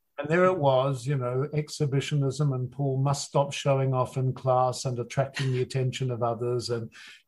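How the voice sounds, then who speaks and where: A man's somewhat breathy voice at a moderate pace, monotone and flat in intonation, with hardly any pauses. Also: medium pitch for a man. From New Zealand. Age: 60s. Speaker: actor and audiobook narrator. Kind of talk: interview.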